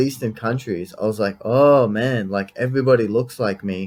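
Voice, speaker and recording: With an Australian accent, a man is speaking. His pace is moderate. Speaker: podcast host. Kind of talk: casual interview chat.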